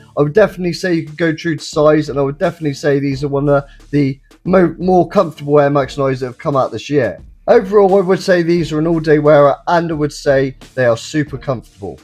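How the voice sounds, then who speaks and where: Speaking very fast with an enthusiastic tone, a man with an English accent uses a fairly high pitch and ordinary pitch variation over music in the background. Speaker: sneaker reviewer. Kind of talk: product review. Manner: casual, enthusiastic.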